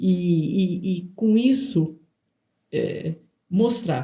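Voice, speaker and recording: A woman speaks at medium pitch with lively intonation, somewhat breathy. Her tone is dark and mellow, and she pauses long and often. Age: 60s. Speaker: nutritionist and podcast co-host. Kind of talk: casual podcast conversation. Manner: halting, many repetitions and fillers.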